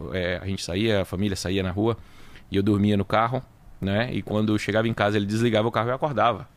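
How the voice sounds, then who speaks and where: A man with a Bahian accent, fairly low pitched, with fairly even intonation and a very fast pace. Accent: Bahian Brazilian Portuguese. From Bahia, Brazil (Salvador). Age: 40s. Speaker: auto repair business owner. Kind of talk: interview.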